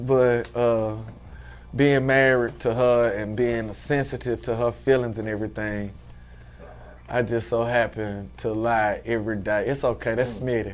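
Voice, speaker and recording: This man has an American accent and a medium pitch. He talks at a moderate pace in a monotone, flat intonation. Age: 40s. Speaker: fashion entrepreneur. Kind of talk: casual interview.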